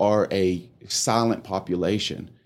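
A man speaks with a West Texas accent in a fairly low pitch and fairly even intonation, on a very clean recording with a silent background. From Texas Panhandle. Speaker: chiropractor and homeless charity director. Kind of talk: casual interview.

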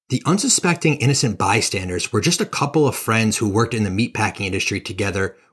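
In a very clean recording with a silent background, a man with a medium pitch sounds somewhat breathy, using a dramatic, enthusiastic tone and lively intonation. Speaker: podcast host. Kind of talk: true-crime narration, scripted storytelling. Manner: dramatic, steady storyteller; enthusiastic, casual.

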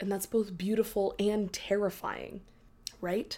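In a monotone, flat delivery, a woman speaks at a medium pitch with a dark, mellow tone. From Texas, Dallas. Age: 20s. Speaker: podcast host. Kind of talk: solo podcast monologue. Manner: casual, filler-heavy.

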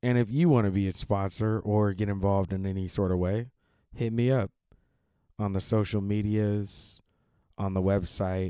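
A man with a fairly low pitch and a dark, mellow tone talks at a moderate pace with an American accent, fairly even intonation and long, frequent pauses, on a very clean recording with a silent background. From Seattle. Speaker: podcast host and actor. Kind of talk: podcast intro and interview.

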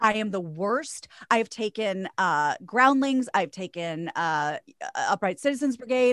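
A woman talks in an ordinary speaking voice at a fairly slow pace and fairly high pitch, with lively intonation and big swings in loudness. The sound is dry and close with no echo. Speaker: radio host and voiceover artist. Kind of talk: casual interview chat.

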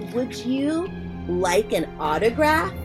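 Over loud music in the background, a put-on character voice speaks at a fairly high pitch. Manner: growling.

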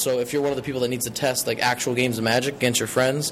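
Noticeable background noise accompanies this man, who talks very fast. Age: 20s. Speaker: card game tournament winner. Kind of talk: interview.

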